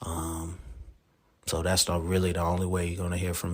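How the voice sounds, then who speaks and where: Speaking in a flat, monotone way, a man uses a very deep, low pitch. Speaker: sports podcast host. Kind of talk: solo podcast monologue. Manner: casual, filler-heavy.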